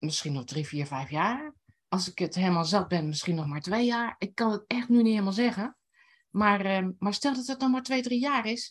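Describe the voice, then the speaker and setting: A woman's somewhat breathy voice at medium pitch, with very wide pitch swings and a moderate pace. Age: 60s. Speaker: writing teacher and blogger. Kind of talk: casual interview.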